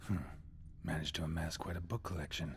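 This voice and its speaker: A man puts on a character voice with a very deep, low pitch. He talks at a very fast pace against clear background noise. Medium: video game. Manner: terse, clipped.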